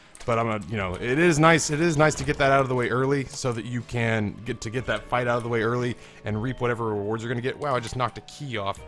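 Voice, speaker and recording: Music plays in the background as a man with an American accent talks at a very fast pace with hardly any pauses and ordinary pitch variation. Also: medium pitch for a man. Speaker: gaming YouTuber. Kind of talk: casual gameplay commentary.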